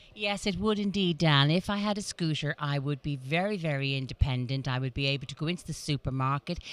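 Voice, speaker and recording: A woman with a Dublin accent. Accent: Dublin Irish. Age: 60s. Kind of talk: interview. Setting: motor show event.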